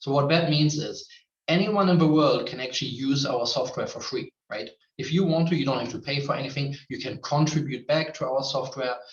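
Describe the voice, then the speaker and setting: A man speaks with a German accent at a fairly high pitch. His pace is fairly quick, with ordinary pitch variation. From Germany. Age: 30s. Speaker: tech company representative. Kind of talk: online presentation.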